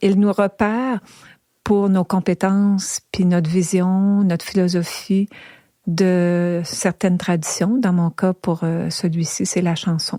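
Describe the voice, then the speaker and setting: Woman at a very slow pace, dark and mellow in tone, medium in pitch, with fairly even intonation. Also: dry, close sound with no echo. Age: 70s. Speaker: traditional singer and musician. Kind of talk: interview. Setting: at home.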